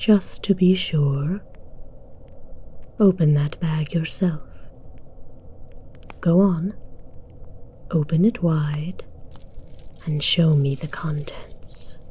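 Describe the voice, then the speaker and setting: Over clear background noise, a woman uses a put-on character voice with a fairly low pitch, speaking at a very slow pace with long, frequent pauses. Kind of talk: ASMR audio roleplay. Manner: commanding, slow.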